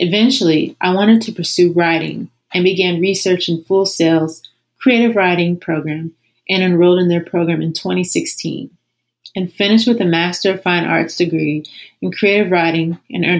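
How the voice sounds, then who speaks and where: Recorded very cleanly against a silent background, a woman with an ordinary speaking voice talks at a moderate pace with fairly even intonation. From Ohio, Columbus. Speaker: entertainment journalist. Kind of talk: interview, personal story.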